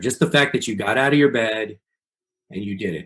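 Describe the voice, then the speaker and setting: A man with a normal speaking voice, fairly quick pace and lively intonation. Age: 40s. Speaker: pastor. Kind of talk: interview.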